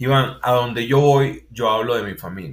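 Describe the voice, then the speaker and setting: At a moderate pace, a man speaks in a Venezuelan accent at medium pitch. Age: 40s. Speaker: university lecturer and consultant. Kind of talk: interview.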